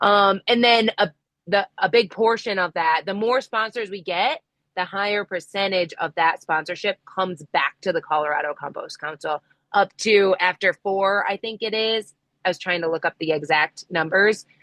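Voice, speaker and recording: At a moderate pace, a woman with a normal speaking voice talks at medium pitch with ordinary pitch variation. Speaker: compost council member presenting at meeting. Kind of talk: online meeting update.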